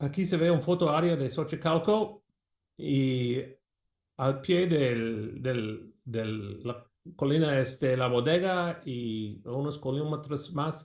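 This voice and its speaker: Speaking at a very slow pace, a man talks with an American accent. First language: English (speaking Spanish). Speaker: archaeology professor. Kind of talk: lecture. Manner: halting.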